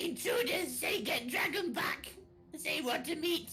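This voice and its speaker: A man speaks in a put-on character voice, extremely high in pitch, at a moderate pace. Background noise is clearly audible. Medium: actual play. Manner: broken grammar, third person.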